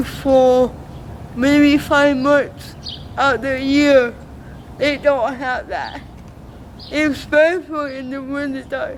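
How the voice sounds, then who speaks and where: A woman with an American accent speaks very slowly in a high pitch, with fairly even intonation and long, frequent pauses. Her loudness swings widely over noticeable background noise. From Alaska. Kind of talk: interview.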